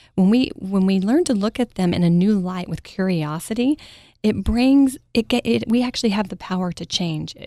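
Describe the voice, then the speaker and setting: A soft-spoken woman with an American accent talks at a moderate pace and medium pitch, with lively intonation and a dark, mellow tone. The very clean recording has a silent background and a dry, close sound with no echo. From Texas, Mesquite near Dallas. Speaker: parenting coach. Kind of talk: interview. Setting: studio.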